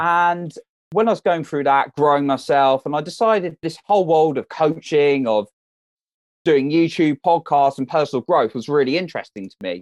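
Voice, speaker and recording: Dry and close with no echo over a quiet background, a man with an ordinary speaking voice talks at a moderate pace in a fairly high pitch. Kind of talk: casual interview chat. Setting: phone call.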